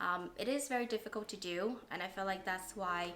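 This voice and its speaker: A woman's medium-pitched voice at a fairly quick pace, with audible room echo. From Vietnam. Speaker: coffee shop owner. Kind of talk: interview testimony.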